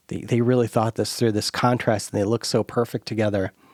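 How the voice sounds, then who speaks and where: Recorded very cleanly against a silent background with a dry, close sound and no echo, a man with a Midwestern American accent speaks at a fairly low pitch in a monotone, flat intonation. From US Midwest. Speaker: podcast host. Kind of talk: casual chat.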